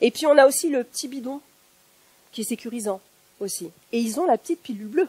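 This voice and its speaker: In a dry, close recording with no echo, a woman talks at a fairly quick pace with lively intonation. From northern France. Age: 50s. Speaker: factory worker and activist public speaker. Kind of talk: one-person political stage talk. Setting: stage with audience.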